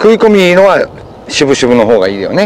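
Male speech at a moderate pace with very wide pitch swings, a dry sound with no echo and light background noise. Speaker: fishing expert. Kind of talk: casual outdoor fishing talk explaining technique. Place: waterside.

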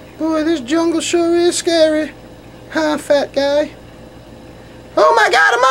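A cartoonish character voice speaks at a high pitch and a fairly slow pace, with long, frequent pauses. Clear background noise is present. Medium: puppet show. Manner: nervous, then panicked.

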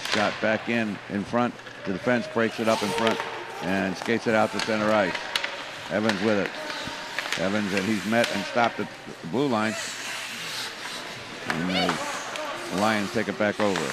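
A man speaks at a moderate pace with long, frequent pauses. The sound is dry with no echo, over loud background noise. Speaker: local play-by-play announcer. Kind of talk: commentary. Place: stadium.

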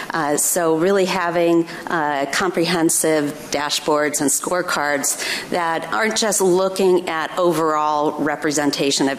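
A woman's very deep, low voice at a fairly slow pace, with light background noise. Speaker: research evaluator. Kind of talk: panel discussion. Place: stage. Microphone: podium.

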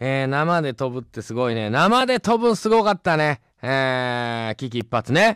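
An animated voice in a Kansai accent with very wide pitch swings, a fairly slow pace and a dry sound with no echo over a quiet background. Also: man. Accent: Kansai Japanese. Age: 40s. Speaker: radio host. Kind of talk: live radio talk. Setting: radio studio. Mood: cheerful, joking. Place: booth. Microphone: studio mic.

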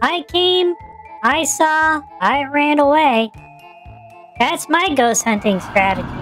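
Clear music plays in the background. The speech moves at a fairly slow pace with long, frequent pauses.

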